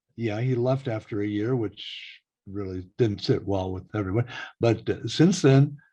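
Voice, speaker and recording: Over a quiet background, a man with a Midwestern US accent speaks at a fairly slow pace in a somewhat breathy, dark, mellow voice of medium pitch with ordinary pitch variation. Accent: US Midwest. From Iowa (Waterloo). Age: 70s. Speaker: radio broadcaster. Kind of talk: oral history interview.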